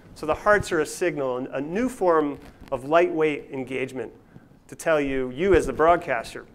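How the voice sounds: A man talks with a fairly high pitch and ordinary pitch variation. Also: moderate pace.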